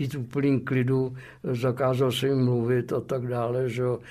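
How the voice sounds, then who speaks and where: A medium-pitched male voice on a very clean recording with a silent background. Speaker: former anti-communist border guide. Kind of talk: interview testimony. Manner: colloquial, frequent fillers.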